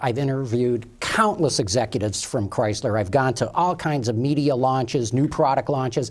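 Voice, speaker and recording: A man's somewhat breathy voice with lively intonation at a fairly quick pace. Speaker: automotive TV show host. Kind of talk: interview. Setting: studio.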